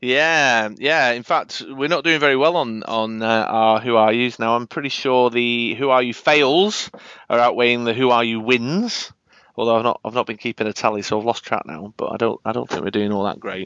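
The speaker has a Manchester accent and a moderate pace. The background is quiet. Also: man. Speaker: podcast host.

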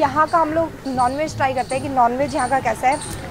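At a moderate pace, a woman speaks with fairly even intonation. Background noise is noticeable. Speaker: food vlogger. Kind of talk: casual vlog chat. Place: street. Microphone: phone near.

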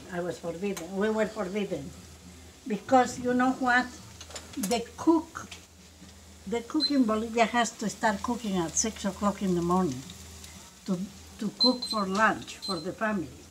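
Through noticeable background noise, a woman speaks at a moderate pace with lively intonation and long, frequent pauses. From Bolivia. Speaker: home cook grandmother. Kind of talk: casual cooking talk and storytelling. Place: kitchen. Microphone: phone near.

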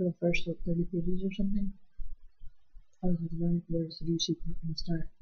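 A soft-spoken woman talks very fast at a fairly low pitch with a somewhat breathy, dark, mellow tone. Her intonation is monotone and flat. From island. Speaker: vlogger. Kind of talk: casual book review vlog. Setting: at home, night, house asleep. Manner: soft-spoken, hushed; rambling, filler words. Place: home room. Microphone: webcam.

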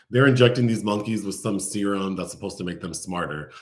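The background is quiet around a man. His pitch moves with ordinary variation. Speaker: film reviewer host. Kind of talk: casual plot summary commentary. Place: home room. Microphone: webcam.

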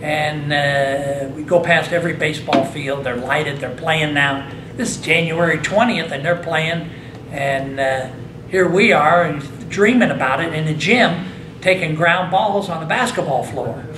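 Through noticeable background noise, a man with an American accent speaks at a fairly slow pace and fairly high pitch, with ordinary pitch variation. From US Midwest (Indiana). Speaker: hall of fame inductee, former baseball player. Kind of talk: interview. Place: meeting room.

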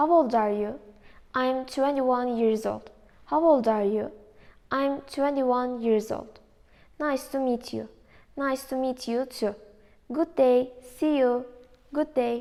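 At a very slow pace, a woman with a high pitch and a dark, mellow tone speaks in a fairly even intonation, taking long, frequent pauses against a quiet background. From Turkey. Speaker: university student; presenter. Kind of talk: reading aloud. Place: classroom. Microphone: camera far.

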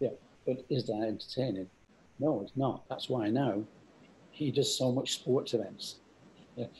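With an English accent and a somewhat breathy voice, a man speaks at a moderate pace with ordinary pitch variation and long, frequent pauses over light background noise. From England. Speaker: company founder; guest. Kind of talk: interview. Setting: video call. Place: home room. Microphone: video call.

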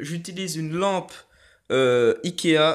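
In a very clean recording with a silent background, a man with a fairly high pitch talks at a very slow pace with lively intonation. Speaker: YouTuber showing card-opening setup. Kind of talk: casual tutorial. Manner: hesitant, many fillers.

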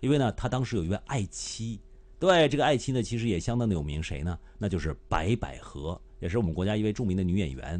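Speaking very fast in a Beijing accent, a man with a fairly low pitch makes very wide pitch swings. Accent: Beijing Mandarin. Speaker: live streamer. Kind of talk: casual live-stream commentary. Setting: live stream. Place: home room. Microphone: studio mic.

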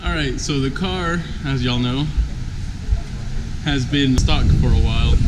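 Noticeable background noise runs under this clip. A man talks at a fairly slow pace. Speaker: car vlogger. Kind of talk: casual vlog chat. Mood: upbeat, relaxed. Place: garage. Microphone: phone near.

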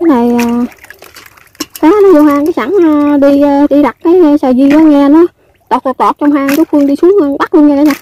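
A woman speaks in a high pitch with a dark, mellow tone and ordinary pitch variation, at a fairly quick pace. The sound is dry and close, with no echo.

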